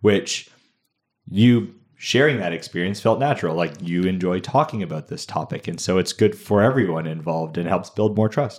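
In an ordinary speaking voice, a man talks at a moderate pace with fairly low pitch and lively intonation, on a very clean recording with a silent background. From Canada, Ontario (Burlington). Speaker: podcast co-host. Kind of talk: casual chat.

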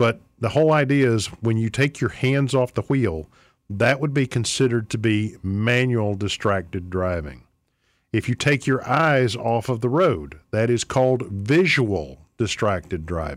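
In an ordinary speaking voice, a man talks at a fairly slow pace and a medium pitch with lively intonation. The recording is very clean, the background silent. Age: 50s. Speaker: radio host and attorney. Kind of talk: talk radio monologue. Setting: radio studio.

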